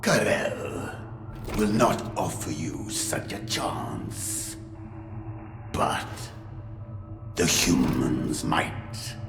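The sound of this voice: A man puts on a character voice with an extremely low pitch, vocal fry and big pitch swings. He speaks at a very slow pace with long, frequent pauses while music plays clearly in the background.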